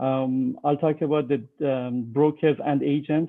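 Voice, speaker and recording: Here a man speaks with an American accent at a fairly high pitch. His intonation is flat and monotone. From Iran. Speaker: real estate broker and civil engineer. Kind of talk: presentation. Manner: slow; halting, many fillers.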